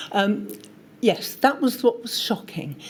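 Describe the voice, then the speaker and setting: A woman has an unremarkable speaking voice. She talks with lively intonation at a moderate pace. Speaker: witness at public inquiry, long covid patient advocate. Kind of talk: testimony. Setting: public inquiry hearing.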